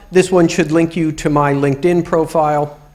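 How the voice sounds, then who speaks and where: The speaker is a man with a New York accent. He talks at a moderate pace. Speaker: UX professional. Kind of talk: lecture.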